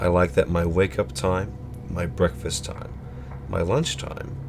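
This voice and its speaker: Music plays behind a man who talks at a fairly slow pace in a very deep, low voice. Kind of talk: horror story narration.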